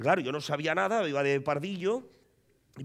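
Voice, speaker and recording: The delivery is animated, moving at a fairly quick pace with lively intonation. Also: man. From Catalonia, Premià de Mar; Catalonia. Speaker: comedian. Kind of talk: stand-up. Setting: stage with audience. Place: stage. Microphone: headset.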